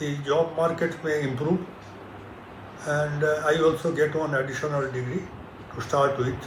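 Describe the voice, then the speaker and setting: A man with an Indian accent speaks at a moderate pace in a fairly high pitch and a flat, monotone delivery, with long, frequent pauses and noticeable background noise. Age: 70s. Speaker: retired engineer. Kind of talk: interview answer.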